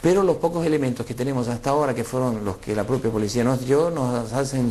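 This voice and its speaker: Lively intonation marks a man speaking at medium pitch and a fairly quick pace. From Argentina, Rafaela (Santa Fe). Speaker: former political exile. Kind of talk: interview testimony. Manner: halting, many fillers.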